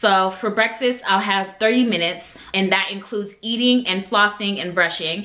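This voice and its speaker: Noticeable background noise sits behind a woman with a medium pitch and fairly even intonation. She talks at a fairly quick pace. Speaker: beauty and lifestyle vlogger. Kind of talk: casual vlog talk to camera.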